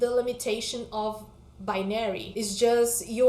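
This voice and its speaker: A woman's fairly high, monotone, flat voice at a fairly slow pace, in a non-native accent, with audible room echo. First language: not English. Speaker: book vlogger. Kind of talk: casual vlog chat.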